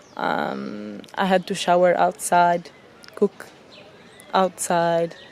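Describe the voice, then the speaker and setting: A woman is speaking at a very slow pace. Noticeable background noise can be heard. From Italy. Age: 20s. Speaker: travel vlogger. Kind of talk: casual vlog narration. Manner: halting, with fillers.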